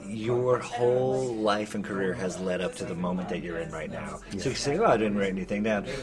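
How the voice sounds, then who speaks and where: A man speaks at a fairly quick pace in a fairly low pitch, with ordinary pitch variation and noticeable background noise. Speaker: podcast host. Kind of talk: casual chat. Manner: animated.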